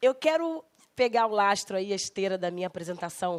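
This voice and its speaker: Speaking at a moderate pace, a woman uses an unremarkable speaking voice at medium pitch. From Rio de Janeiro, Brazil (West Zone). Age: 40s. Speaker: architect and politician. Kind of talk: guest lecture.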